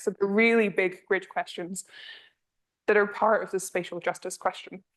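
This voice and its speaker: A woman's medium-pitched voice in a Scottish accent, monotone and flat, at a fairly quick pace. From northern Scotland. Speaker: energy policy researcher. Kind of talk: lecture.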